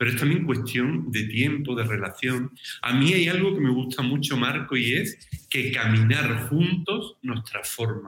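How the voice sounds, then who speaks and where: A man with a plain, everyday voice, medium in pitch, fairly slow, and lively in intonation. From southern Spain, Cádiz (Andalusia). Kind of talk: interview conversation.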